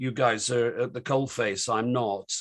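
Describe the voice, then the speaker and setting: A man speaks with a British accent. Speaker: online discussion host. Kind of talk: panel discussion moderation. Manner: hesitant, many fillers.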